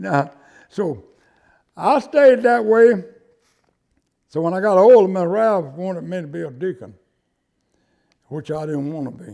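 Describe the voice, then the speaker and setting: With an American accent, a man talks at a high pitch and fairly slow pace, taking long, frequent pauses. His pitch swings very widely and his loudness shifts a lot. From US South, rural Georgia. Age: 80s+. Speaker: church deacon, elderly local resident. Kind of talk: oral history interview. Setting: private home. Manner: halting, with repetitions.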